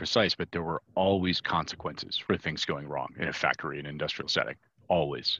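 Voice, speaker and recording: A man speaks with a bright, sharp tone over a quiet background. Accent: American. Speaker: podcast co-host. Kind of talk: casual interview.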